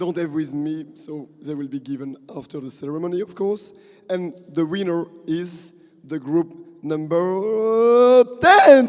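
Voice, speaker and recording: With noticeable background noise, a man speaks at a fairly slow pace in a high pitch, using lively intonation and big swings in loudness. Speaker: event organizer announcing prizes. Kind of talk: award ceremony announcement.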